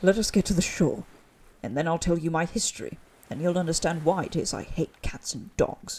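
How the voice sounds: A man puts on a shaky character voice, high-pitched and at a fairly quick pace.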